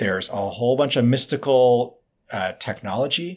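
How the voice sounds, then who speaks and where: Moderate in pace and medium in pitch, a man talks in a plain, everyday voice. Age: 40s. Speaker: biohacking author and expert. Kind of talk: interview conversation. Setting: remote video call.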